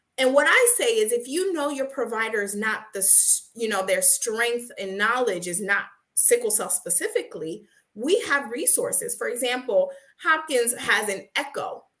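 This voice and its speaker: A loud woman's voice, high-pitched, with a bright, sharp tone, lively intonation and a moderate pace. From Haiti. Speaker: nurse and sickle cell patient advocate. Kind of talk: interview.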